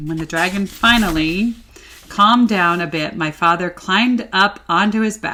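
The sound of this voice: An unforced voice reading aloud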